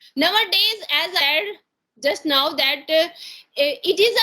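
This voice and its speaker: In an Indian accent, a woman uses a raised, projected voice with an extremely high pitch and lively intonation. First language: Hindi. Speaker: English conversation practice partner. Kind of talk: casual conversation practice. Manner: halting, many fillers.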